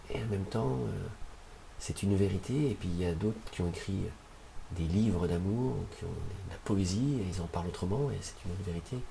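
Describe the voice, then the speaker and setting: With noticeable background noise and audible room echo, a man speaks at a very deep, low pitch with ordinary pitch variation. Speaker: shamanic practitioner. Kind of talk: interview. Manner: fast.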